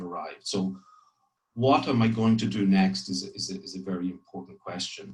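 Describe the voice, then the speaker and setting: The man's voice is somewhat breathy. He talks at a moderate pace. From Ireland, grew up partly in France. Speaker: corporate public affairs executive. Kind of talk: career talk to trainees. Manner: frequent hesitations and repetitions.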